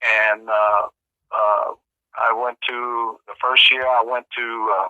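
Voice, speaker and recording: A man's monotone, flat delivery. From US Midwest, Kansas City, Missouri. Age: 60s. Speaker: Cold War veterans advocate. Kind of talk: interview.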